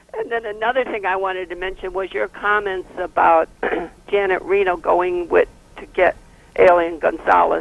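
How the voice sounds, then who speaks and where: The pace is moderate, and background noise is noticeable throughout. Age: 70s. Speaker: caller. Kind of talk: call-in comment.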